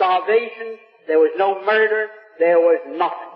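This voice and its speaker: Moderate-paced speech against noticeable background noise. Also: man. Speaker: businessman. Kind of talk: public speech to a live audience. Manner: extemporaneous.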